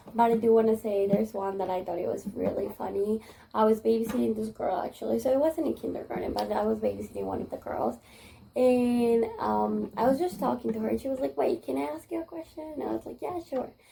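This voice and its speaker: Noticeable background noise surrounds a woman whose speech rushes at a very fast rate. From Spanish-speaking country. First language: Spanish. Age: 20s. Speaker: kindergarten teacher. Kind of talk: interview. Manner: casual, many fillers.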